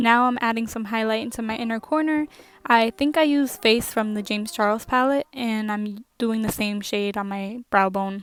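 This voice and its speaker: Soft-spoken, a woman talks at a moderate pace. Her pitch is fairly high and her intonation fairly even. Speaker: beauty vlogger. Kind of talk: makeup tutorial voiceover. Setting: home at night.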